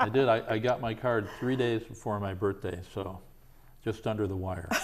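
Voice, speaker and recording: Amid noticeable background noise, a man with a fairly low pitch speaks at a moderate pace with fairly even intonation. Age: 60s. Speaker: talk show host. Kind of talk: interview.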